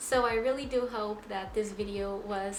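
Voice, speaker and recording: Music plays in the background as a woman in a Portuguese accent speaks with fairly even intonation amid audible room echo. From Portugal. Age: 20s. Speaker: psychology student, vlogger. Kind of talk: explainer vlog.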